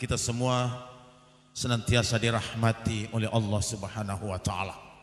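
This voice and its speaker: A man is speaking. His pace is moderate. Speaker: Islamic preacher. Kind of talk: sermon.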